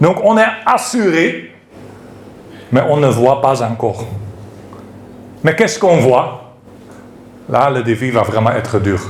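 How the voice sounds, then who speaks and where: In a room with audible echo, a man with a non-native accent speaks at a medium pitch and a very slow pace, with very wide pitch swings and long, frequent pauses. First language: not French (speaking French). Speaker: preacher. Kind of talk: sermon. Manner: halting.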